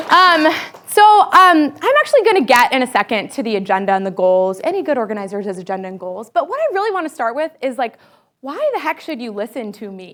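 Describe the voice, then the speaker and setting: A woman with an American accent, high-pitched with very wide pitch swings, at a fairly quick pace over crowd noise in the background. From Massachusetts, US. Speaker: community organizer. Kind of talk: workshop lecture. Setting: room with live audience, live-streamed. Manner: animated.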